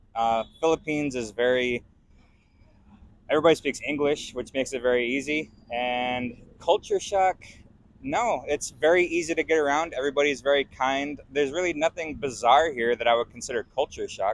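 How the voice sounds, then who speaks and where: Here is a plain, everyday voice with an American accent. It moves at a moderate pace with ordinary pitch variation. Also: man, fairly high pitch for a man, dry, close sound with no echo. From US, Las Vegas. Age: 30s. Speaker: foreign resident interviewee. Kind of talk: street interview.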